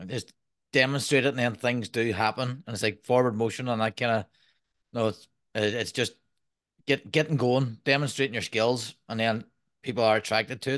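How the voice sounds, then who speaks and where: A man with an Irish accent, medium-pitched and fairly even in intonation, at a fairly quick pace with long, frequent pauses against a quiet background. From Ireland. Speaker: podcast host and permaculture designer. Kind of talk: casual interview.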